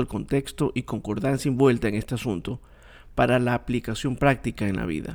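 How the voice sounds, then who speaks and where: This man has a normal speaking voice at medium pitch, with ordinary pitch variation. He talks at a fairly quick pace on a very clean recording with a silent background. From Ecuador, coast region. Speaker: religious podcast host. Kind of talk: bible teaching monologue.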